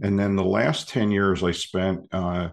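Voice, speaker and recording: Against a quiet background, a voice with an American accent holds a monotone, flat intonation. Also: man. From US Northeast, Philadelphia. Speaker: leadership consultant and professor. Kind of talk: interview. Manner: hesitant, many fillers and repeats.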